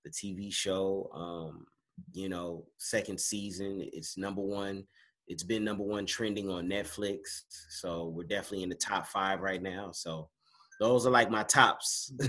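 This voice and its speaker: In an ordinary speaking voice with an American accent, a man talks at a fairly slow pace with fairly low pitch and fairly even intonation. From Los Angeles (Inglewood, South Central). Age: 40s. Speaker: actor. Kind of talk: casual interview. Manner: laid-back, many fillers.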